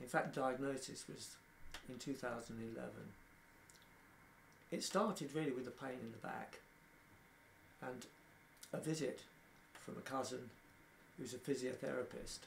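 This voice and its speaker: Speaking at a moderate pace with long, frequent pauses, a man uses a medium pitch, ordinary pitch variation and vocal fry, and the room echo is audible. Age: 60s. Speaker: person living with motor neurone disease. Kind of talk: documentary interview.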